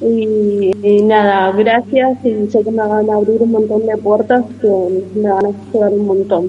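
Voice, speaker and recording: Noticeable background noise sits behind a woman's fairly high voice. She talks at a fairly slow pace with monotone, flat intonation. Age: 30s. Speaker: community kitchen organizer. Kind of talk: interview.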